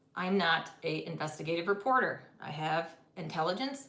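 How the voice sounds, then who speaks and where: A woman's voice carries audible room echo. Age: 50s. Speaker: tarot reader and medium. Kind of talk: live-stream tarot reading. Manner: fast; energetic.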